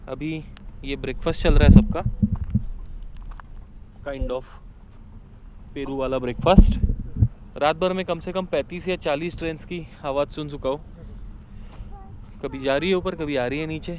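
Speaking at a fairly slow pace with long, frequent pauses, a man has a fairly high pitch, a slightly mellow tone and ordinary pitch variation, with faint background noise.

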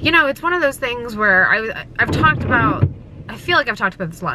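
Over loud background noise, a woman talks at a very fast pace in a dry sound with no echo. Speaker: vlogger. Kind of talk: casual vlog chat. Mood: sad, reflective after a loss. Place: car. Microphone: phone near.

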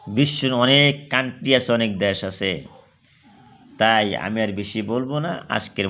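A man with a medium pitch speaks with lively intonation and vocal fry. Audible room echo surrounds his voice. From Assam, India. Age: 50s. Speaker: Islamic preacher and YouTuber. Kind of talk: religious sermon. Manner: halting.

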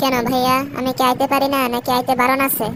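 A woman's cartoonish character voice, high-pitched and fairly quick, at very even loudness over clear background noise. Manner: emotional, earnest.

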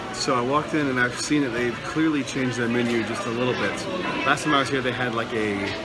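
With loud music in the background, a man speaks at a fairly quick pace with ordinary pitch variation. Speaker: vlogger. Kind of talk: casual vlog chat. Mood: playful, joking. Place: shop. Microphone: phone near.

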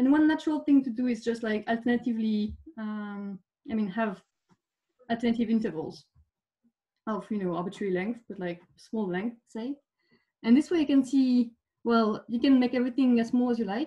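Over a quiet background, a woman's voice comes at a fairly quick pace. Her pitch varies in an ordinary way. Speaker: speaker. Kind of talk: lecture. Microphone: webcam.

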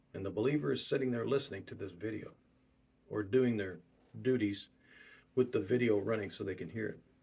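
A man with a fairly low pitch, a dark, mellow tone and vocal fry talks at a fairly quick pace with ordinary pitch variation and long, frequent pauses. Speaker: preacher. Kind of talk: sermon. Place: home room. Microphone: webcam.

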